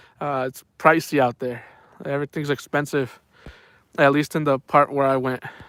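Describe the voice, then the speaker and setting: At a moderate pace, a man speaks in a fairly high pitch with monotone, flat intonation, on a very clean recording with a silent background and a dry, close sound with no echo. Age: 40s. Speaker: fishing live streamer. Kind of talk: casual chat.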